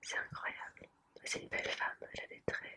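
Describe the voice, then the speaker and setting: A woman whispers at a fairly slow pace. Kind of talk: ASMR rambling, whispered showing of a postcard collection. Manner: soft, hesitant, with frequent fillers.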